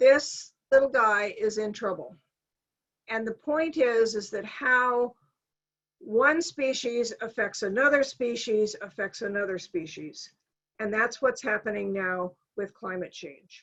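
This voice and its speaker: With an unremarkable speaking voice, a woman talks at a fairly slow pace in a fairly high pitch, her loudness swinging widely. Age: 60s. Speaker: climate scientist giving a talk. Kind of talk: lecture.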